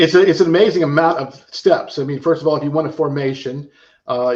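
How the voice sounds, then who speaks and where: An unremarkable speaking voice from a man, moderate in pace, with fairly even intonation. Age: 60s. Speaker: drone pilot and drone show operator. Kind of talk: casual podcast interview.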